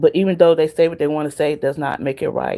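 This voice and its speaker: A woman speaks with an American accent. The recording is very clean, and the background is silent. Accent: Southern US, others say she has one. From US South. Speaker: livestreamer. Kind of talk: casual chat. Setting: live stream.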